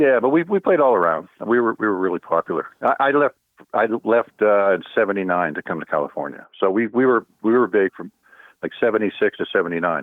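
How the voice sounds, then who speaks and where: A man's medium-pitched voice with an American accent, lively intonation and a fairly quick pace. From US, central Pennsylvania (Altoona). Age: 60s. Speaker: musician. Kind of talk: casual interview. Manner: halting, many fillers and restarts.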